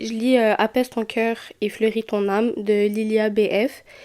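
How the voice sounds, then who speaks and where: The woman's pitch sits fairly high. Her tone is dark and mellow. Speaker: podcast host. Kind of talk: casual chat. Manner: hesitant, many fillers.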